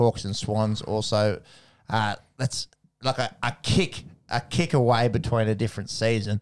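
A man with an Australian accent speaks at a medium pitch and a fairly slow pace. His pitch varies in an ordinary way, and the recording is very clean with a silent background. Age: 30s. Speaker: sports podcast co-host. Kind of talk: casual chat.

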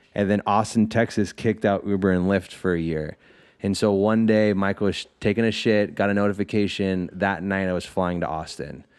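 Over a quiet background, a man with a plain, everyday voice speaks at a moderate pace, his pitch fairly low and his intonation fairly even. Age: 20s. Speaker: podcast guest. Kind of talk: casual chat.

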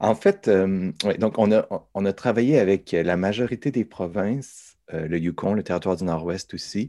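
A fairly low-pitched man's voice, dark and mellow, at a fairly slow pace with ordinary pitch variation and a quiet background. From Quebec, south shore near Quebec City. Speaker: professor. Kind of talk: interview. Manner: halting.

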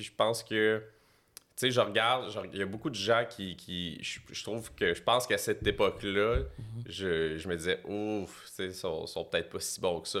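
On a very clean recording with a silent background, a man speaks at a moderate pace. His pitch is medium and varies in an ordinary way. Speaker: comedian manager. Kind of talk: casual chat.

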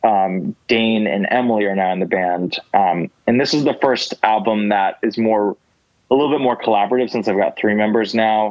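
At a moderate pace, a man speaks at a fairly low pitch with ordinary pitch variation and very even loudness. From US Northeast, New Jersey suburbs. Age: 20s. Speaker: musician. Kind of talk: casual interview conversation. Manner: hesitant, many fillers.

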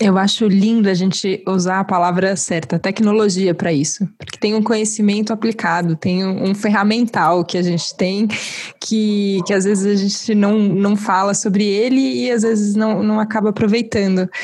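A woman's medium-pitched voice at a moderate pace, with fairly even intonation, hardly any pauses, and noticeable background noise. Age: 30s. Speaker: podcast host. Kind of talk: casual interview conversation.

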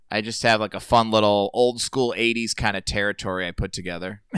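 In an unremarkable speaking voice of medium pitch, a man with an American accent talks at a fairly quick pace with fairly even intonation, in a dry, close sound with no echo on a very clean recording with a silent background. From Indiana, US Midwest. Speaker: comedian. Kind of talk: casual chat.

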